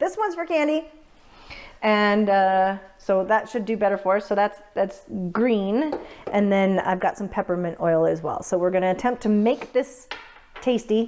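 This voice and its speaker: With an unremarkable speaking voice, a woman talks at a medium pitch and a moderate pace with ordinary pitch variation. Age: 40s. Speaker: home baker. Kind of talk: casual cooking demonstration.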